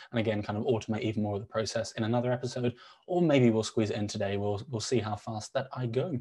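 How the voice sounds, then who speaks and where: A man's somewhat breathy, dark, mellow voice at medium pitch, with ordinary pitch variation and a very fast pace. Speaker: chatbot builder, show co-host. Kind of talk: live software demo tutorial. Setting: live stream with online audience.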